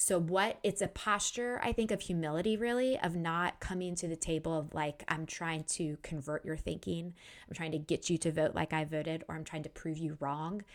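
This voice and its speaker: A woman with a fairly low voice speaks at a moderate pace, hardly pausing, with ordinary pitch variation. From US, Washington, D.C. area. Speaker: author. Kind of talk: interview.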